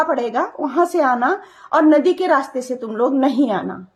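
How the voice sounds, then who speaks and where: A woman speaks at a fairly slow pace with ordinary pitch variation. Her voice is high in pitch. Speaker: storyteller, social media creator. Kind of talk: personal storytelling. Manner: casual, conversational.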